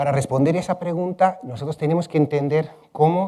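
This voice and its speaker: Speaking at a moderate pace, the man has a fairly high pitch and a dark, mellow tone. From Spain, Madrid. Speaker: ecology researcher. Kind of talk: plenary conference talk. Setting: conference hall with audience. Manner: many fillers (eh, este).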